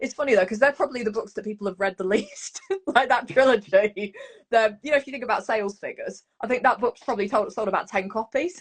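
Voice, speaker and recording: A woman in a Leicester accent speaks very fast at a fairly high pitch, with ordinary pitch variation. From Leicester, East Midlands, England. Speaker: horror author. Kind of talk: casual interview chat. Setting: live video stream.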